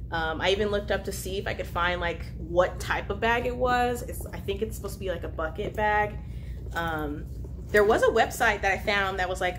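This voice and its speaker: Light noise sits in the background as a woman is speaking. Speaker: vlogger. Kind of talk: casual vlog chat. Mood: cheerful, chatty. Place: home room. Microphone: camera far.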